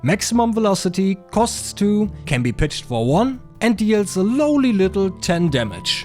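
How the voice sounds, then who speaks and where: Music plays in the background as a man with a high voice talks at a moderate pace, his pitch swinging very widely. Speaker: card game content creator. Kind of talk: casual game deck tech narration.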